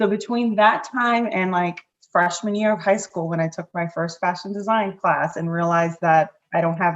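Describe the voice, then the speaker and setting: A woman speaks at a medium pitch with lively intonation. Hers is a plain, everyday voice. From Connecticut, Hartford area (born in Puerto Rico). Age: 30s. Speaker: life and business coach. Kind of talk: podcast interview. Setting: podcast.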